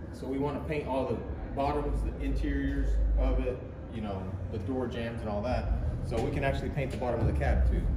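A man talking at a fairly quick pace over noticeable background noise. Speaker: mechanic host. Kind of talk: casual vlog chat. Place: workshop. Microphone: phone near.

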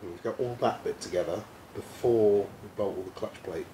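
A man with an Essex accent at a fairly quick pace over light background noise. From Essex, England. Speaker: mechanic helper. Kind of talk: casual chat. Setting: workshop. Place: workshop. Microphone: camera far.

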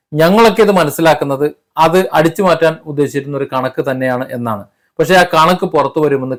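A man with ordinary pitch variation and a normal speaking voice. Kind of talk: opinion monologue to camera.

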